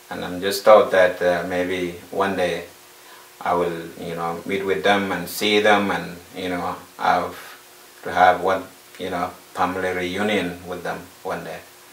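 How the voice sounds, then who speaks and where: A man with a very deep, low pitch talks at a fairly slow pace in a monotone, flat intonation, his loudness swinging widely. Audible room echo and noticeable background noise fill the recording. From South Sudan. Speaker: refugee. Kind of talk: personal testimony. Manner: halting, many fillers.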